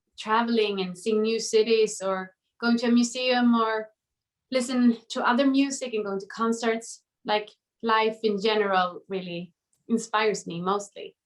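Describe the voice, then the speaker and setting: Speaking at a moderate pace, a woman uses a Swedish accent and fairly even intonation. Her pitch is fairly high. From Sweden. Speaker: pop singer. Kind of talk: interview. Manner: halting.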